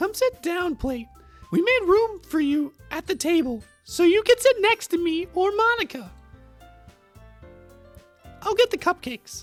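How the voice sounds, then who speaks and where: In a squeaky, put-on character voice at an extremely high pitch, the speaker moves at a moderate pace with long, frequent pauses while music plays in the background. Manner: squeaky cartoon mouse voice.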